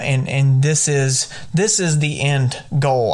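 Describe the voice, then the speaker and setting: A man with a Southern US accent speaks with fairly even intonation. Noticeable background noise runs under his voice. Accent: Southern pronunciation. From US South. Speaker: podcast host and high school English teacher. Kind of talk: podcast monologue. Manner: repeats words, some hesitation.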